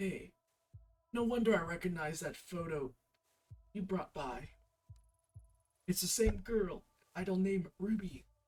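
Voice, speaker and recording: A raspy put-on character voice at a middle pitch moves at a fairly slow pace with long, frequent pauses while music plays in the background. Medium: game stream. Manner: hesitant, apologetic.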